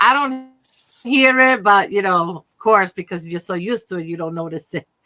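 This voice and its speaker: Her tone is bright and sharp, and this woman speaks at a fairly slow pace with ordinary pitch variation. The sound is dry and close, without echo. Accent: New York. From Brooklyn, New York City. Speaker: crochet and knitting crafter. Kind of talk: casual chat.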